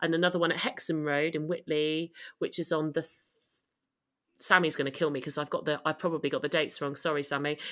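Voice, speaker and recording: Delivered at a very fast pace in a southern British accent, the speech is monotone and flat, on a very clean recording with a silent background. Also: woman, very deep, low pitch for a woman. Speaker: photographer and co-founder of mums support group. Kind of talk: interview, casual conversational.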